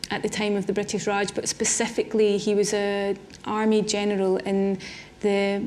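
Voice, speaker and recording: With a Scottish accent, a woman of medium pitch speaks fairly slowly in a monotone, flat intonation, with audible room echo. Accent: Scottish, noticeable. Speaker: artist. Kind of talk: public conversation on stage. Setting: symposium with audience. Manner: hesitant, repeats words.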